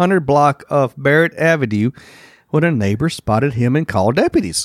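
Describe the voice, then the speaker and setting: In a very clean recording with a silent background and a dry, close sound with no echo, the speaker talks at a fairly quick pace with lively intonation. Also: man. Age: 50s. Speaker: podcast co-host. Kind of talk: reading news stories aloud; casual chat.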